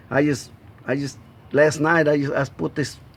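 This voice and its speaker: The speaker is a man who talks at a fairly quick pace. He has a Spanish accent. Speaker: amateur mechanic. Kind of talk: tutorial. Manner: halting.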